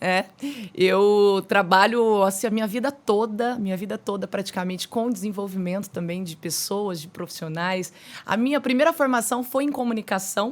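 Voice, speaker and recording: A woman talks with a Minas Gerais accent. Her pitch is medium. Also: ordinary pitch variation, moderate pace. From Minas Gerais, Brazil. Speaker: podcast host, mentor and speaker. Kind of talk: podcast interview.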